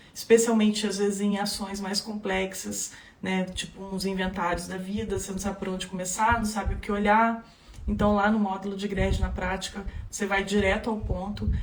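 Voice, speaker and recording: Over noticeable background noise and audible room echo, a woman speaks at a medium pitch with monotone, flat intonation. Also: moderate pace. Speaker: legal course instructor. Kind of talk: live stream tutorial. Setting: Instagram live.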